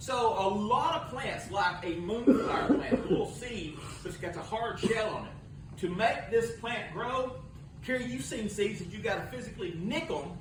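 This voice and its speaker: There is noticeable background noise and audible room echo as a man talks with a high pitch and lively intonation. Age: 60s. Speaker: pastor. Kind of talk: sermon. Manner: conversational, addressing listeners by name.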